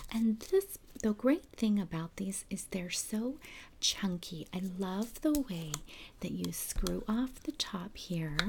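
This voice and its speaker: Soft-spoken and somewhat breathy, a woman talks at a very slow pace over light background noise. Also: lively intonation. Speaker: presenter. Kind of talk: product demonstration chat. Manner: soft ASMR-style quiet voice. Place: home room.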